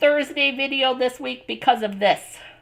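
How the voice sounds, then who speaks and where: With a raised, projected voice, a woman speaks at a moderate pace with a high pitch and ordinary pitch variation. Her tone is bright and sharp, in a very clean recording with a silent background. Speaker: card-making craft host. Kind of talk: live craft stream sign-off. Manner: casual, chatty.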